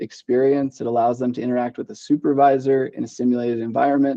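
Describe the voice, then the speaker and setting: Using a normal speaking voice, a man with an American accent talks at a medium pitch with fairly even intonation. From Idaho, Boise. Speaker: marketing director. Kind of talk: casual interview.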